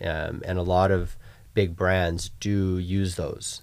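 On a very clean recording with a silent background, a man with a Canadian accent speaks with a very deep, low pitch. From Vancouver, Canada. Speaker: fashion designer. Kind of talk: interview.

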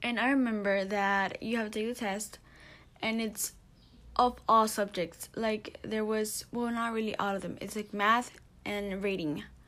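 A woman's fairly high, flat, monotone voice at a fairly slow pace. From Mexico. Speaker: podcast host. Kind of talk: casual monologue.

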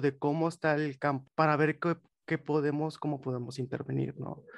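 Over a quiet background, a man talks at a moderate pace with a fairly high pitch and fairly even intonation. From Mexico, Monterrey. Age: 20s. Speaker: psychologist. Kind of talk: interview.

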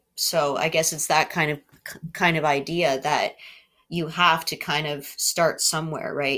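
In a Canadian accent, a woman speaks in a fairly low voice on a very clean recording with a silent background. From southwestern Ontario, Canada (Oxford County). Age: 40s. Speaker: mature university student. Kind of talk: student podcast presentation, partly reading aloud. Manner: hesitant, many fillers.

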